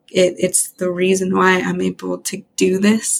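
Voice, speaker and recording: A woman with an American accent speaks at a medium pitch. The recording is very clean, with a silent background. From Western Montana, US. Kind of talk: casual interview. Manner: halting, many fillers.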